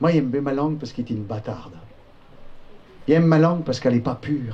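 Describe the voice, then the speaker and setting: Talking very fast, a man keeps a medium pitch that rises and falls in an ordinary way. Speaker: storyteller. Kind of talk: storytelling narration.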